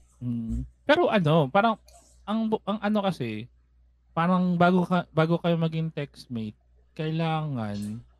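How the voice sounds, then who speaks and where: Recorded dry and close with no echo, a man with a fairly high voice speaks at a fairly slow pace, his pitch swinging very widely. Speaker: podcast co-host. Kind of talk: casual chat.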